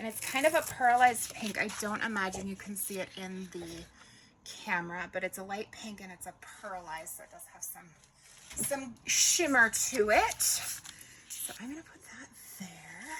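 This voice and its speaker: A woman's medium-pitched voice at a moderate pace, with lively intonation, big swings in loudness, long and frequent pauses, and noticeable background noise. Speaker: crafter and tutor. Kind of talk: casual craft tutorial chat. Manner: chatty, frequent um fillers.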